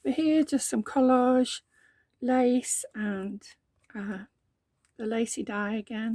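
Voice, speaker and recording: A woman with a dark, mellow tone and a fairly high pitch sounds somewhat breathy, her pitch varying in an ordinary way on a dry, close recording with no echo. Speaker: journaling crafter. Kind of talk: casual craft flip-through talk to camera. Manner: hesitant, giggly.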